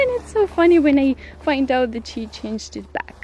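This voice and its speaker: A woman speaks at a moderate pace with a Russian accent. Music plays in the background. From Ukraine. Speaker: vlogger. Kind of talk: casual chat. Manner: halting.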